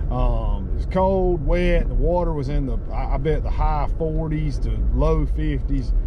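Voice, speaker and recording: Recorded in a dry sound with no echo, a man speaks over noticeable background noise. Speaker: fishing vlogger. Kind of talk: casual vlog chat. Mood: relaxed, good-humored. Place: car. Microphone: camera far.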